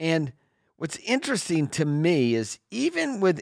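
Speaking with an American accent, this voice makes very wide pitch swings in a dry, close sound with no echo. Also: man. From California, Sacramento. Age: 60s. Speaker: financial advisor and radio host. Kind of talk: radio call-in show. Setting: studio.

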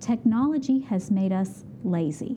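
The intonation is lively, with an Appalachian accent. Noticeable background noise runs behind the voice. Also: woman. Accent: Appalachian American. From West Virginia, Beckley. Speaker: exercise physiologist. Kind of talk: interview.

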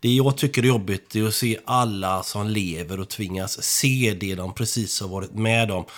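In an ordinary speaking voice, a man talks at a moderate pace with hardly any pauses. His pitch is fairly low with ordinary variation. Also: very clean recording, silent background. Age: 50s. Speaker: traffic controller. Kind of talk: casual chat.

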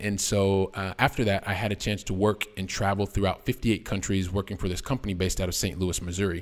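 Speaking with an American accent in a plain, everyday voice, a fairly low-pitched man moves at a fairly quick pace in a very clean recording with a silent background. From US Midwest, Columbus, Ohio. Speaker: real estate investor. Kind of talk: interview.

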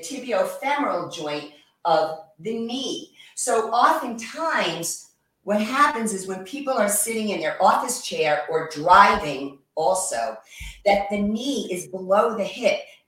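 At a fairly slow pace, a woman speaks with a fairly high pitch and very wide pitch swings. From New York. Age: 60s. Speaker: yoga instructor and massage therapist. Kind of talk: guided exercise instruction.

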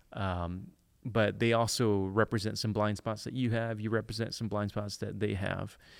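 In an American accent, a man talks at a moderate pace with a fairly low pitch and a monotone, flat intonation, on a very clean recording with a silent background. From Detroit inner city, US. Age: 40s. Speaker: church planting director and author. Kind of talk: casual interview chat.

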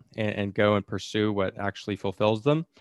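A man with an unremarkable speaking voice talks fairly quickly at a fairly low pitch with fairly even intonation. The sound is dry and close with no echo, and the background is quiet. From outside the US. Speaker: podcast host. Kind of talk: casual interview.

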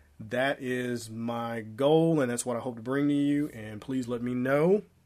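Music plays in the background behind a man's voice. His pitch sits at a medium level with ordinary variation. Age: 40s. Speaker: podcast host and social media business coach. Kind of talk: solo podcast monologue. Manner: casual, conversational.

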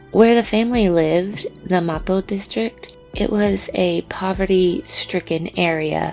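Against background music, a woman speaks at a fairly slow pace in a fairly low pitch with ordinary pitch variation. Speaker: podcast host. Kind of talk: scripted true-crime narration. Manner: pronounces R's very hard.

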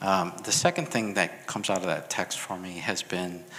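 Over noticeable background noise, a man with a Chicago accent speaks fairly slowly in a very deep, low voice with fairly even intonation. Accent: Chicago American English. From US Midwest, Chicago. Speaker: pastor. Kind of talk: testimony.

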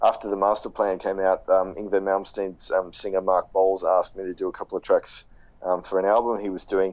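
Speaking with an Australian accent, a man talks at a moderate pace and a fairly low pitch. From Sydney, Australia. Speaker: guitarist and guitar teacher. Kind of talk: casual interview.

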